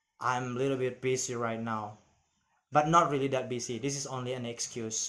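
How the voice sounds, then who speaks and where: With fairly even intonation, a man talks in a space that gives off audible room echo. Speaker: vlogger practicing English. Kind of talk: personal monologue. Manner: halting.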